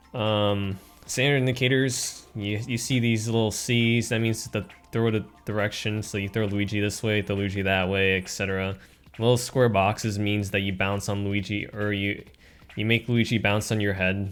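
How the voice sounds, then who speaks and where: A man speaks in a flat monotone at a fairly low pitch. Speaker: video game streamer. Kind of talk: gameplay commentary explaining a level. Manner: fast.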